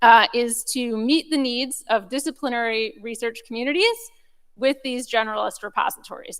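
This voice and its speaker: Loud and high-pitched, a woman speaks in a very clean recording with a silent background. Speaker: research data program speaker. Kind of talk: conference talk. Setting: conference room with audience, recorded.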